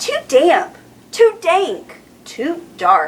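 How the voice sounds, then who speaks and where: A woman's put-on character voice, squeaky and extremely high in pitch. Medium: read story.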